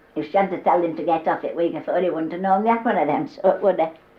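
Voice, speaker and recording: A woman speaks at medium pitch in a West Yorkshire accent. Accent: broad West Yorkshire dialect. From Yorkshire, Holmfirth area. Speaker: dialect humorist, storyteller. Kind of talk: humorous storytelling. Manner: chatty, conversational.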